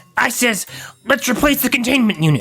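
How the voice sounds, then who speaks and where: In a put-on character voice, a female-sounding speaker is gruff and raspy with a high pitch, as faint music plays in the background. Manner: gruff, blaming.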